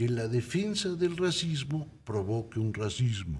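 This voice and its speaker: Somewhat breathy, a man speaks at a very slow pace with audible room echo. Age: 60s. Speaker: commentator. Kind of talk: talk show discussion.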